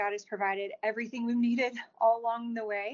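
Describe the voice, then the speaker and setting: A woman with an American accent talks at a fairly quick pace and fairly high pitch. Her intonation stays flat and monotone. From Texas, DeSoto. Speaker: adoptive mother and children's author. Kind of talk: interview.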